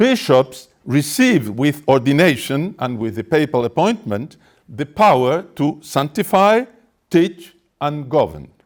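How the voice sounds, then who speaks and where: A man with a Spanish accent, fairly high in pitch with vocal fry, at a fairly slow pace with very wide pitch swings. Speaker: activist speaker. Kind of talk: press conference statement. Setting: press conference. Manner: formal.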